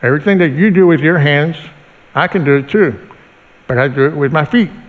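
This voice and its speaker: A man's fairly high pitch comes through over noticeable background noise. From Mexico City. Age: 50s. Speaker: motivational speaker. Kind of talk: church testimony talk. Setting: church with congregation.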